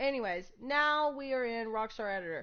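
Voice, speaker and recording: A woman talks with a high pitch. Her pace is moderate. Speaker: gaming streamer. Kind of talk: tutorial. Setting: live stream.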